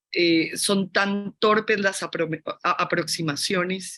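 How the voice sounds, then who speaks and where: A bright, sharp tone in a Colombian accent at a very slow pace, with fairly even intonation and a quiet background. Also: woman. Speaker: fashion academic / critic. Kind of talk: panel discussion. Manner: halting.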